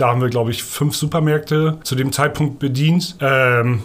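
A man speaks in a normal speaking voice at a moderate pace, with ordinary pitch variation. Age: 30s. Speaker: sales representative. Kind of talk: interview. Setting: in person, over coffee.

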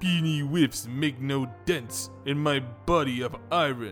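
Over clear music in the background, a man puts on a character voice at a medium pitch and a fairly slow pace. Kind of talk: comic overacting. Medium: read story. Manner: cocky, defiant.

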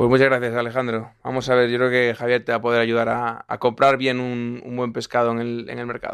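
A man talks at a fairly quick pace with hardly any pauses. His medium-pitched voice is monotone and flat. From Galicia, Spain (Lugo). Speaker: podcast host. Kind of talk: interview; wine tasting commentary. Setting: studio.

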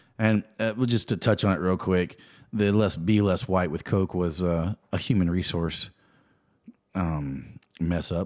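Recorded very cleanly against a silent background, a man with an American accent uses ordinary pitch variation. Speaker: podcast co-host. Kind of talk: casual chat. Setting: studio.

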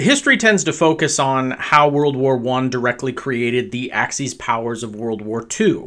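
Bright and sharp in tone, a man speaks at a fairly slow pace with hardly any pauses, a medium pitch and ordinary pitch variation, on a very clean recording with a silent background. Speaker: podcast host. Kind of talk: solo commentary monologue. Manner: casual, filler-heavy speech.

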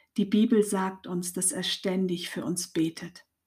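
On a very clean recording with a silent background, a woman with a somewhat breathy voice speaks at a very slow pace. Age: 50s. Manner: warm, cheerful.

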